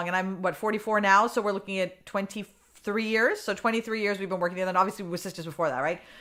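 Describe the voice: A woman with a Massachusetts accent speaks at a very fast pace with hardly any pauses, in a bright, sharp tone. Her medium pitch holds fairly even intonation over a very clean recording with a silent background.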